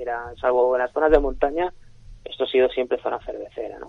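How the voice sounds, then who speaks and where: With an ordinary speaking voice, a man talks at medium pitch using fairly even intonation. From Elche, Alicante, Spain. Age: 30s. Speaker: winemaker and wine sales director. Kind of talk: radio interview. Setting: radio studio.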